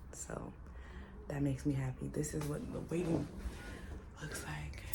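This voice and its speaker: Audible room echo follows speech delivered at a moderate pace. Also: woman. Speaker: vlogger and cancer patient. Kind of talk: casual vlog. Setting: doctor's office.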